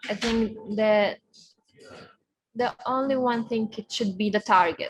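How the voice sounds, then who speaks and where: Speaking at a fairly slow pace, a woman with a Lithuanian accent has a fairly high pitch. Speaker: racing driver. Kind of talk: interview. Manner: halting.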